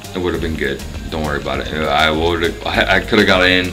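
Clear music plays behind a man whose voice is very deep and low. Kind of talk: casual vlog chat. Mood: relaxed, joking, profane. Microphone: phone near.

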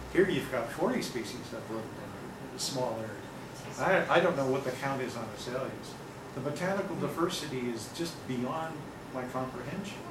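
At a fairly quick pace, someone with an American accent speaks over noticeable background noise. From US Pacific Northwest, Seattle. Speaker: nature photographer and travel speaker. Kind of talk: slide-show talk to an audience. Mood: enthusiastic, informal. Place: meeting room. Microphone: camera far.

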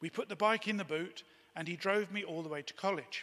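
The man's tone is bright and sharp, and the background is quiet. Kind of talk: eulogy reading. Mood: warm, reminiscent. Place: church. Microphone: podium.

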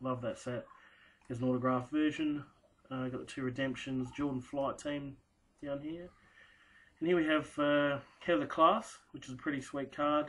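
A man with an Australian accent at a moderate pace, fairly even intonation, and long, frequent pauses. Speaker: sports card collector and first-time video maker. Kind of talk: casual show-and-tell video. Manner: casual and hesitant, many fillers. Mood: relaxed, pleased. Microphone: webcam.

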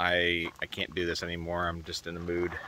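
A man's very deep, low voice with a bright, sharp tone, moderate pace, dry sound with no echo, and light background noise. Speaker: travel vlogger. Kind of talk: casual vlog chat. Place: open country. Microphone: phone near.

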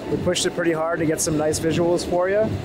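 A man talks at a fairly quick pace. The sound is dry with no echo, though background noise is noticeable. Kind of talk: casual vlog chat. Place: farm machine. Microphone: phone near.

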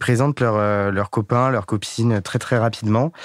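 A man is talking fairly quickly. His voice sits at a medium pitch. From France, Corrèze (rural). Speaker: dating podcast guest. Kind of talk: casual interview. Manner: hesitant, many fillers.

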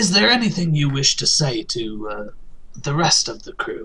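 Here a man puts on a character voice. It sits at a fairly high pitch and moves at a moderate pace. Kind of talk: role-play game narration.

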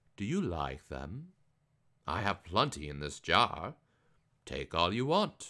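Putting on a character voice, a man with a very deep, low pitch talks at a fairly slow pace, swinging his pitch very widely and leaving long, frequent pauses. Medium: read story. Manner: confident, teasing.

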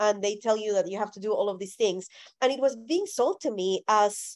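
A woman speaks with a Spanish accent at a fairly high pitch and lively intonation. The background is quiet. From Colombia. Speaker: speaker on faith and theology. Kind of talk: talk followed by Q&A. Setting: video call. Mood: earnest, reflective. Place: home room. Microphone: video call.

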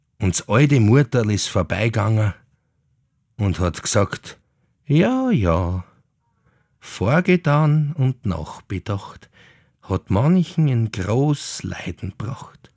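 In a Viennese accent, a man at medium pitch talks at a very slow pace, his pitch swinging very widely, with long, frequent pauses, in a dry, close sound with no echo on a very clean recording with a silent background. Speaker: actor reading legends. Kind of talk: old folk tale narration in dialect. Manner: animated, dialect-coloured.

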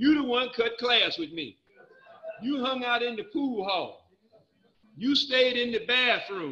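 A man's raised, projected voice at an extremely high pitch, animated in tone and lively in intonation, broken by long, frequent pauses. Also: fairly slow pace. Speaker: recovery speaker. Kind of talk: personal testimony.

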